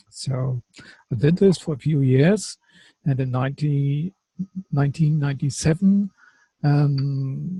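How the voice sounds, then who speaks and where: A man's fairly high, dark, mellow and somewhat breathy voice with a German accent, very slow, in a dry, close sound with no echo. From Germany. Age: 50s. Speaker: qigong teacher, former firefighter. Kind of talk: personal testimony. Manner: halting, searching for English words.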